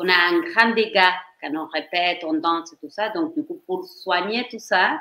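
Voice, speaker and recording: At a fairly slow pace, a woman with a medium pitch uses lively intonation and big swings in loudness. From Argentina. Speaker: professional dancer and choreographer. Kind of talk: interview on career. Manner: halting, with false starts.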